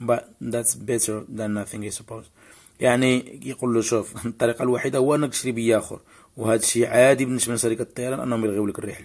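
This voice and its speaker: A man's intonation stays monotone and flat. He speaks very fast at medium pitch. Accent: Moroccan. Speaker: video blogger answering viewers' questions. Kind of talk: casual informational talk, Q&A vlog with clips.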